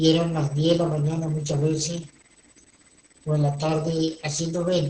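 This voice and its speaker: A man speaks in a fairly high pitch with a dark, mellow tone. His intonation stays monotone and flat, and the room echo is audible. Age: 60s. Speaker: pastor. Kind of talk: sermon. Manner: formal.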